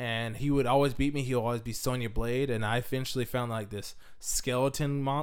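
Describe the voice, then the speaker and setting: With a plain, everyday voice, a man talks at medium pitch and a fairly quick pace, keeping his intonation fairly even. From Washington State, US. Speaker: podcast co-host. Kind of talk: casual chat.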